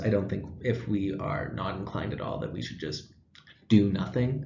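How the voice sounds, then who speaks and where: A man talks in a fairly low voice. It sounds somewhat breathy. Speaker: student teacher. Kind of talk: class presentation. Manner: fast.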